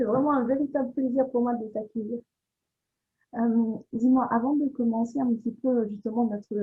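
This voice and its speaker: At a moderate speed, a woman with a fairly high pitch talks in an unremarkable speaking voice. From Réunion. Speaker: podcast host. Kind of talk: interview. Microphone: sound problems.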